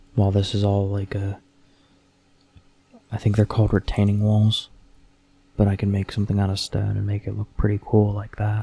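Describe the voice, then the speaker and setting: Soft-spoken and somewhat breathy, a man talks at a fairly quick pace with long, frequent pauses, his fairly low voice dark and mellow, with a relaxed tone and monotone, flat intonation. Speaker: ASMR content creator / Minecraft player. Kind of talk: ASMR Minecraft commentary, casual talk to camera. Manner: soft-spoken, relaxed.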